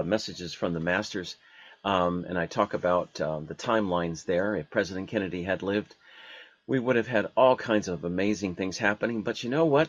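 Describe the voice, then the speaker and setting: It is an ordinary speaking voice from a man, fairly low in pitch with ordinary pitch variation. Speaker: radio host. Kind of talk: radio show interview.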